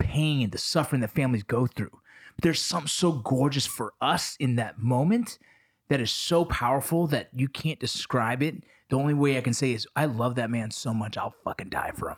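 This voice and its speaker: An unremarkable speaking voice, a man's, medium in pitch and fairly quick, with ordinary pitch variation. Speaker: podcast host. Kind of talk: casual chat.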